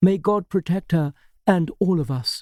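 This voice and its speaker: A man puts on a guttural character voice pitched high. He delivers it at a moderate pace. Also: dry, close sound with no echo. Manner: solemn, ceremonial.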